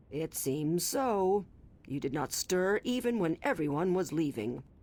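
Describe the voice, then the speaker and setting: Using a raspy put-on character voice, a woman speaks at a moderate pace, her fairly low pitch making very wide swings. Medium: video game. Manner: formal, measured.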